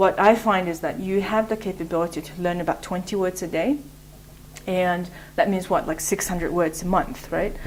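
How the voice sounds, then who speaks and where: A woman talks with a Mongolian accent and fairly even intonation. There is noticeable background noise. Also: medium pitch for a woman, moderate pace. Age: 30s. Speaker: English teacher. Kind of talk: interview. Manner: hesitant, many fillers.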